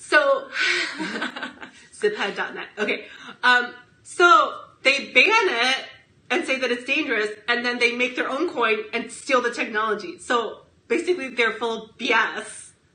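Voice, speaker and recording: A woman with a high pitch speaks in an animated tone at a fairly slow pace, taking long, frequent pauses and showing big swings in loudness with ordinary pitch variation. Noticeable background noise and audible room echo fill the recording. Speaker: comedian; podcast co-host. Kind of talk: casual chat.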